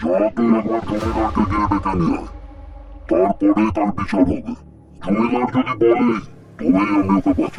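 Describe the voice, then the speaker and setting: A man speaks in a cartoonish character voice, pitched fairly low, at a moderate pace. Clear music plays in the background. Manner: menacing, commanding.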